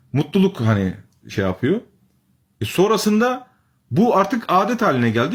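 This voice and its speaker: A somewhat breathy man at a moderate pace, animated in tone, with very wide pitch swings. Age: 30s. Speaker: religious commentator. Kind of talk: live stream talk to viewers.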